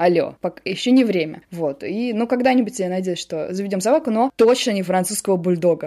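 A woman's dark, mellow voice with hardly any pauses. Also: medium pitch for a woman, lively intonation. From Russia, Samara. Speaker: journalist and producer. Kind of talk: interview, personal conversation.

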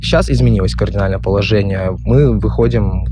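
A man speaks at a fairly quick pace in a very deep, low voice with very wide pitch swings. Noticeable background noise and audible room echo surround him. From Khabarovsk, Russian Far East. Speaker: bartender. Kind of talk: recorded answers to interview questions. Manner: hesitant, filler-heavy.

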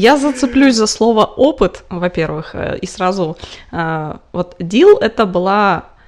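Her intonation lively and her pitch medium, a woman is talking. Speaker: podcast co-host. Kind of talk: casual chat.

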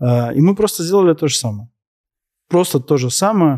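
This man has an unremarkable speaking voice, moving at a fairly quick pace with ordinary pitch variation in a very clean, dry, close recording with a silent background and no echo. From Moscow, Russia. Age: 30s. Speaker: entrepreneur in waste sorting. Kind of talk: interview on stage before audience.

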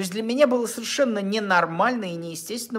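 Very fast speech from a man with a high pitch, amid noticeable background noise. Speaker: relationship blogger. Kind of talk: monologue to camera. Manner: halting.

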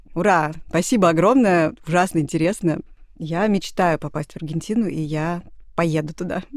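At a moderate pace, a woman with a fairly low pitch and ordinary pitch variation speaks with long, frequent pauses. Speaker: podcast host. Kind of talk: casual chat.

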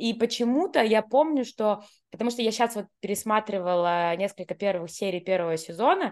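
In a quiet background, a woman talks at a very fast pace with a fairly high pitch and lively intonation. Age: 30s. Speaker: podcast co-host. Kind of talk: casual chat.

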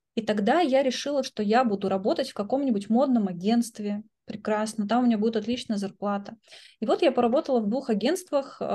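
A woman's fairly high, somewhat breathy voice with a dark, mellow tone and ordinary pitch variation at a very fast pace, against a quiet background. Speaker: educational coach and philosophy lecturer. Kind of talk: interview.

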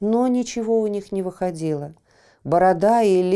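The pitch shifts in an ordinary way as a text is read out in a natural-sounding voice.

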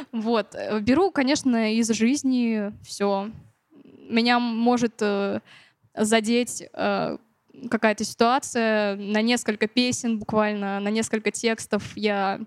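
A woman with a fairly high voice talks at a very slow pace, leaving long, frequent pauses. Her intonation is fairly even, and the sound is dry and close with no echo. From Siberia, Novokuznetsk. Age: young. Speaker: singer-songwriter. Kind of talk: interview.

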